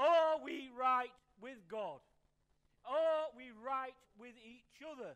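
Speaking at a very slow pace with long, frequent pauses, a man uses an extremely high pitch and ordinary pitch variation against a quiet background. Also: big swings in loudness. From northern England. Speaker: pastor. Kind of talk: sermon. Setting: church service. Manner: conversational, with frequent fillers and repetitions; light-hearted, jokes with the congregation. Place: church.

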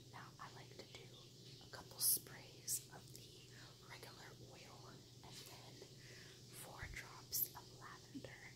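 A woman whispers softly at a fairly slow pace, leaving long, frequent pauses. Loud background noise runs behind her. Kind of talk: casual tutorial chat. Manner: soft ASMR whisper. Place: home room. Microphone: phone near.

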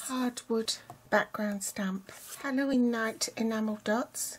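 At a very slow pace, a woman talks with fairly even intonation over light background noise. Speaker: craft demonstrator. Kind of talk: tutorial.

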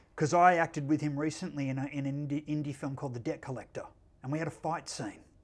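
A fairly high-pitched man's voice at a very fast pace with fairly even intonation. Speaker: filmmaker and actor. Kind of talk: interview questions, casual conversation. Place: studio. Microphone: lapel.

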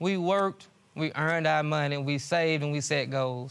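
A man talks at a moderate pace in a Southern US accent. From US South, Louisiana. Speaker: litigant on court show. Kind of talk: testimony. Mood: indignant, accusing. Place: stage. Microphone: lapel.

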